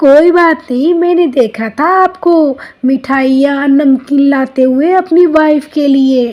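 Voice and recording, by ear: This is a cartoonish character voice. It moves at a fairly slow pace. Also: woman, high pitch for a woman.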